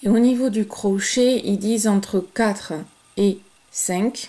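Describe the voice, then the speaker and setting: A woman's fairly high voice with fairly even intonation at a very slow pace. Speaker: crochet tutorial creator. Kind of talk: tutorial. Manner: hesitant, many fillers.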